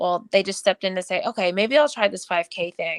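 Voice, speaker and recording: On a very clean recording with a silent background, a woman speaks in an ordinary speaking voice at medium pitch and moderate pace, the sound dry and close with no echo. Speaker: running coach. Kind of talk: podcast interview.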